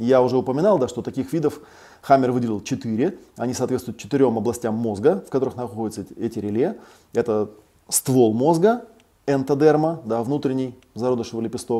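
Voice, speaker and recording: Over a quiet background, a man talks at a medium pitch in a dark, mellow tone with ordinary pitch variation. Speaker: clinical psychologist and psychotherapist. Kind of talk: online lecture with Q&A. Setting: online live broadcast. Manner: hesitant filler-heavy speech, frequent 'да'. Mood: calm, explanatory. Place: home room.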